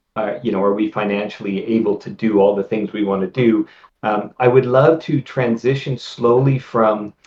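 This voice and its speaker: With an unremarkable speaking voice, a man talks at a moderate pace, his pitch medium and its variation ordinary. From Canada. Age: 50s. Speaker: video game writer and novelist. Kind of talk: interview.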